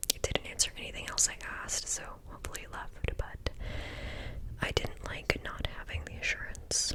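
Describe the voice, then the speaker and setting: Whispering at a fairly quick pace, the voice comes through noticeable background noise. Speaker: ASMR creator. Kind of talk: read story. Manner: whispered.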